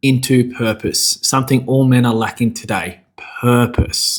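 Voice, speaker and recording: The recording is very clean, with a silent background. A man speaks in an Australian accent at a medium pitch. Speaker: men's coach. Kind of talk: motivational talk. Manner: casual, conversational.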